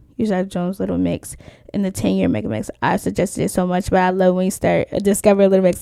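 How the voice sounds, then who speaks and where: Very fast and animated, a woman delivers her words. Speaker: reaction YouTuber. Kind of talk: reaction video commentary.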